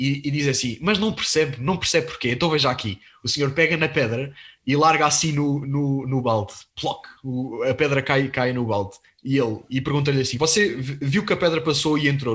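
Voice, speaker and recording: Moderate pace and ordinary pitch variation in a man's fairly high voice. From Portugal. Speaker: podcast host. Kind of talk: interview on religious topics. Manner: halting, repeats words.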